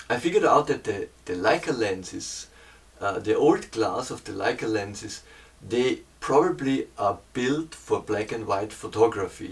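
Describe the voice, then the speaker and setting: At a moderate pace, a man speaks with lively intonation and a somewhat breathy quality. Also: medium pitch for a man. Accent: German. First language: German. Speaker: painter and hobby photographer. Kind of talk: camera review talk. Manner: halting, many fillers and repeats.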